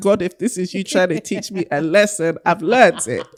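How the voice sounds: Her fairly low pitch shows ordinary variation as the woman speaks at a moderate pace.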